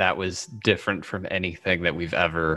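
A man's very deep, low pitch with a bright, sharp tone against a quiet background. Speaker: tabletop roleplayer and streamer. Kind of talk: tabletop roleplaying game play.

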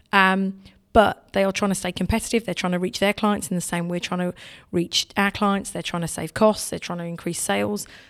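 With an English accent, a woman speaks at a fairly quick pace. Her pitch is medium and her intonation monotone and flat. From England. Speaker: technology sales leader. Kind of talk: interview.

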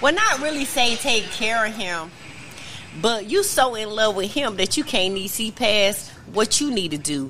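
Noticeable background noise sits behind the speaker. The pace is moderate and the intonation lively. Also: woman, fairly high pitch for a woman. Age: 40s. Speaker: podcast co-host. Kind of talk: casual chat. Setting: restaurant bar.

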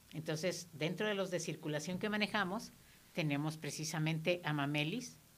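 A woman with a fairly low pitch speaks at a moderate pace with ordinary pitch variation. Her loudness stays very even, and audible room echo is present. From Mexico, Guerrero state. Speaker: therapist. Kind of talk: radio interview. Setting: radio studio.

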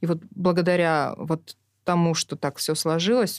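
A woman with a plain, everyday voice speaks at a fairly low pitch with fairly even intonation. The recording is very clean with a silent background, and the sound is dry and close with no echo. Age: 40s. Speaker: social entrepreneur, kindergarten network director. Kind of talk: documentary interview.

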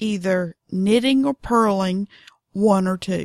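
In a Southern US accent, a woman drawls at a very slow pace with ordinary pitch variation, in a very clean recording with a silent background. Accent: Southern drawl. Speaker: knitting podcaster. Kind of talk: casual tutorial monologue. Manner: unhurried, drawling; chatty, animated.

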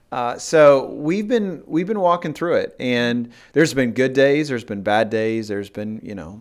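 Over a quiet background, a man with an unremarkable speaking voice talks at a moderate pace with hardly any pauses, lively intonation and big swings in loudness. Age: 40s. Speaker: pastor. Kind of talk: casual interview.

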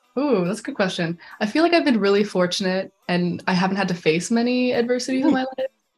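Talking very fast with lively intonation, a woman with a fairly high voice is heard over music in the background. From Canada, Calgary, Alberta. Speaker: animation filmmaker, recent art school graduate. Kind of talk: interview. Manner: casual, filler-heavy (like, um).

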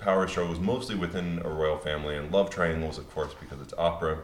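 A man with a very deep, low pitch and an American accent talks at a fairly quick pace with fairly even intonation. The recording has audible room echo, noticeable background noise and big swings in loudness. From Pennsylvania. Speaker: opera singer. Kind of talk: panel discussion.

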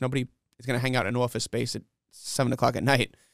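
Speech in a New York accent rushes at a very fast pace, with a dry, close sound, no echo, and a very clean recording with a silent background. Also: man. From New York City (Flushing, Queens). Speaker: comedy show promoter and comedian. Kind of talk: casual interview.

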